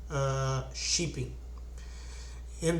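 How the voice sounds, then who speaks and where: A man with a Portuguese accent at a fairly slow pace, with audible room echo and noticeable background noise. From Brazil. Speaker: investing channel host. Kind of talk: casual tutorial / stock analysis. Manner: halting, many fillers and restarts.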